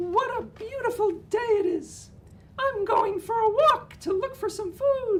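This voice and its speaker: Putting on a character voice, a man speaks fairly slowly in an extremely high, squeaky pitch. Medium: read story. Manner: polite, eager.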